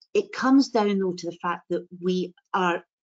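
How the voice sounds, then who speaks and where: A woman's normal speaking voice, with ordinary pitch variation. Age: 60s. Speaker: local politician. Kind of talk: panel debate.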